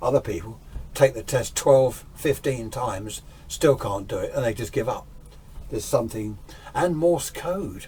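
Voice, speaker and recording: With an English accent, a man talks at a moderate pace in a medium pitch. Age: 60s. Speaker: radio restorer and amateur radio hobbyist. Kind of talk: casual vlog talk. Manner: rambling, hesitant.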